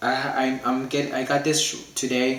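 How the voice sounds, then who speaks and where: There is audible room echo and noticeable background noise as a man talks. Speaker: hobbyist YouTuber. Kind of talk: unboxing video. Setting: living room at home. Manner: halting, many fillers.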